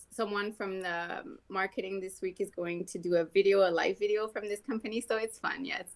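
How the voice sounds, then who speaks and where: A woman talks with a Quebec accent at a moderate pace and medium pitch. Her intonation is fairly even, and she hardly pauses. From Quebec, Canada. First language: French. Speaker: skin care professional. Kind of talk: podcast interview.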